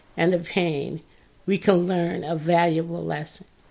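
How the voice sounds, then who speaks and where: With vocal fry, a woman speaks at a fairly slow pace. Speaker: podcast host. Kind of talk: reflective monologue with reading aloud.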